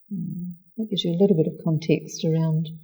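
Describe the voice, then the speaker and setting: A woman speaks with a New Zealand accent at a fairly quick pace. Her tone is dark and mellow, and somewhat breathy. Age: 60s. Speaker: spiritual practitioner. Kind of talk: interview.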